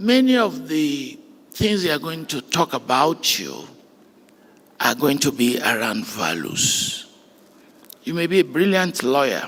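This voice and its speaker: Against noticeable background noise, a man with a fairly high voice and very wide pitch swings talks at a fairly slow pace with long, frequent pauses. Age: 70s. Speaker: graduation speaker. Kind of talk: commencement address. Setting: graduation ceremony with audience. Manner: formal.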